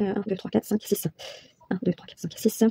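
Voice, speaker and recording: A woman is talking here. She keeps her intonation fairly even. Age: 30s. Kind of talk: casual talk to camera. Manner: casual, hesitant with many fillers.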